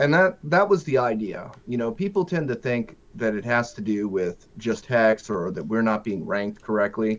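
At a moderate pace, a man talks with medium pitch in a normal speaking voice. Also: lively intonation, hardly any pauses. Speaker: viewer, live stream guest. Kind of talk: casual live stream chat. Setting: video call.

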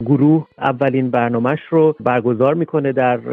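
A man with a plain, everyday voice, fairly high pitch and fairly even intonation. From Iran, Shiraz. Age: 30s. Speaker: music researcher. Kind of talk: interview.

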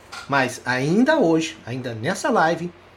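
With lively intonation, a man talks, and audible room echo follows his words. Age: 60s. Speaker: psychologist and hypnosis teacher. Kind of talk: live online lecture.

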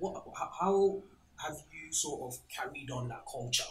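Speaking with a London accent, a man talks at a very slow pace. His pitch varies in an ordinary way. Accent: London English, Multicultural London style. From Ghana, then UK (council flat). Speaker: food podcast host. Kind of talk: casual chat over a meal. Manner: animated, laughing.

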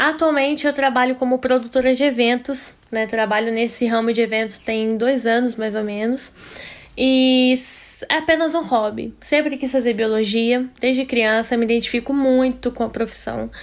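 Her voice sits high in pitch. The woman talks at a moderate speed. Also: fairly even intonation. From interior of Minas Gerais, Brazil. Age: 20s. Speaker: biology student, podcast co-host. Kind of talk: podcast interview.

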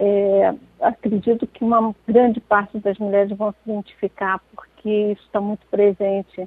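Delivery runs at a fairly slow pace. Flat, monotone intonation carries throughout. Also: woman. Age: 60s. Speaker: poet. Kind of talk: interview. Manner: halting, many fillers.

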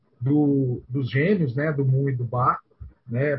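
At a fairly slow pace, a man with a fairly high pitch talks in an unremarkable speaking voice. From Goiânia, Brazil. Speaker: podcast co-host. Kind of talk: casual chat.

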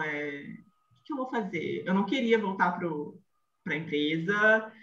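A woman's voice with music in the background. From Rio de Janeiro, Brazil. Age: 30s. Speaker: image consultant. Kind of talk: podcast interview, telling her career story. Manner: animated.

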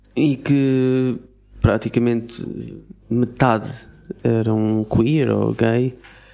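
In a European Portuguese accent, a man speaks at a very slow pace with monotone, flat intonation. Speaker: podcast co-host. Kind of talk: casual chat.

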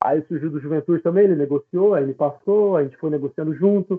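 A man with an ordinary speaking voice, fairly high pitched, at a fairly quick pace with ordinary pitch variation. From interior of São Paulo state, Brazil. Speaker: professional footballer. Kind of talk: casual interview. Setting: live-streamed podcast.

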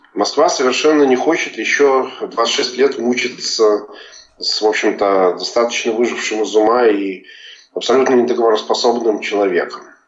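A man's medium-pitched voice at a moderate pace, with audible room echo and noticeable background noise. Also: ordinary pitch variation. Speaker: journalist. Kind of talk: interview. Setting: remote call.

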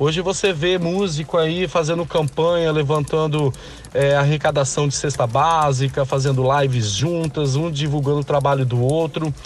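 Fairly high-pitched, somewhat breathy male voice at a moderate pace, with very even loudness and fairly even intonation. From Espírito Santo, Brazil (Linhares). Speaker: singer. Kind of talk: interview.

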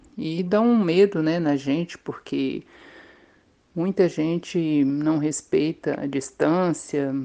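Her tone dark and mellow, a woman speaks at a fairly low pitch. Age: 50s. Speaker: maintenance technician, vaccine trial volunteer. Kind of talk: testimony.

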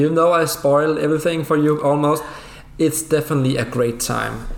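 The pace is fairly quick as a man talks. Behind him there is noticeable background noise. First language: Danish. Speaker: guest, gaming fan. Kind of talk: casual chat.

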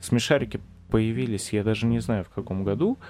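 Music in the background behind a man at medium pitch and moderate pace. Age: 20s. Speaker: podcast host. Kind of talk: casual chat.

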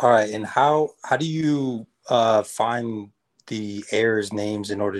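A man with a fairly low pitch talks very slowly with ordinary pitch variation. The sound is dry and close with no echo. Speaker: beginner real estate wholesaler calling in. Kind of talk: casual call-in Q&A. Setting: video call.

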